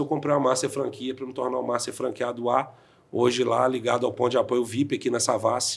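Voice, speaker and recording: This is an ordinary speaking voice, moving at a moderate pace. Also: man. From Brazil, interior of Minas Gerais. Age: 40s. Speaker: insurance franchise owner. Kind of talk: podcast interview.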